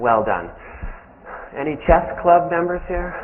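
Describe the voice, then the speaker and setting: In a room with audible echo, a man with a fairly high voice speaks at a moderate pace. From Canada. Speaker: business professor. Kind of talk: lecture. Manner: casual, joking with audience.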